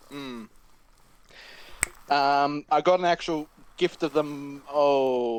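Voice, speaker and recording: Loud and fairly high-pitched, a man speaks at a very slow pace with long, frequent pauses and fairly even intonation, in a dry, close sound with no echo. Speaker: tabletop game player. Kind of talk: casual chat.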